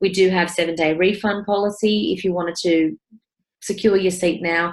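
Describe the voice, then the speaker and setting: A woman with an Australian accent, fairly low in pitch, with fairly even intonation. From New South Wales, Australia. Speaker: property investment mentor. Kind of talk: webinar presentation with sales pitch. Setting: online webinar. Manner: casual, with frequent fillers.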